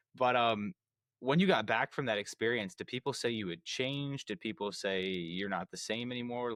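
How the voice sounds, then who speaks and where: This is an unremarkable speaking voice. It carries an American accent. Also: man, medium pitch for a man, ordinary pitch variation, moderate pace. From United States. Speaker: podcast host. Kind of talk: interview conversation.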